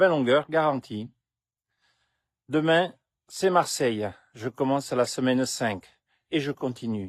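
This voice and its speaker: In a dry, close recording with no echo and a quiet background, a man speaks at a medium pitch. He goes at a fairly slow pace with ordinary pitch variation. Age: 60s. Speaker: health vlogger. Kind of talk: vlog monologue.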